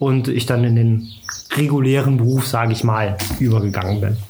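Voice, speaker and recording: The man's delivery is at a moderate pace and his intonation stays fairly even. The room echo is audible. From Germany, Trier. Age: 30s. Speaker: football commentator, former club press officer. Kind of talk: casual interview. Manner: hesitant, many fillers.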